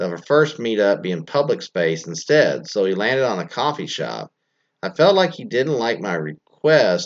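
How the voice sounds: Quiet background behind a natural reading voice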